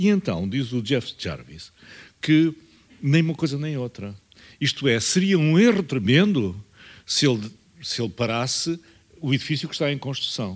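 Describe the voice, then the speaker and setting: Recorded very cleanly against a silent background, a man with a European Portuguese accent and a fairly high pitch moves at a moderate pace, his pitch swinging very widely and his speech broken by long, frequent pauses. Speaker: veteran journalist. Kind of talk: panel talk. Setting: university auditorium panel.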